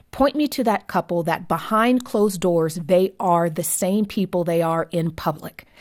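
A woman's unremarkable speaking voice with an American accent, medium in pitch with ordinary variation, at a moderate pace with hardly any pauses, on a very clean recording with a silent background. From US, Southern California. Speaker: author and marriage advocate. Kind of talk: interview.

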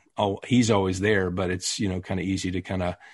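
Someone speaks with a Texas accent at a fairly quick pace against a quiet background. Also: man. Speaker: actor. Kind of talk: casual interview.

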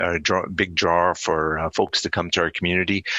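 This man has a very deep, low pitch and a Canadian accent. His intonation stays fairly even. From Alberta, Canada. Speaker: town mayor. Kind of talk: radio interview. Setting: phone call. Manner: hesitant, many fillers.

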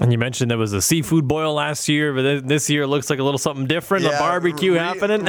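A man with a fairly high pitch and ordinary pitch variation talks at a very fast pace with hardly any pauses. His loudness stays very even, and there is noticeable background noise. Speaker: radio host. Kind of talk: radio interview. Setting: radio studio.

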